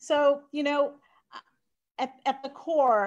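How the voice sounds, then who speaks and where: Against a quiet background, a woman with an American accent speaks fairly slowly with fairly even intonation. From Sri Lanka. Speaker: nonprofit CEO. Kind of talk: interview. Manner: hesitant with many fillers.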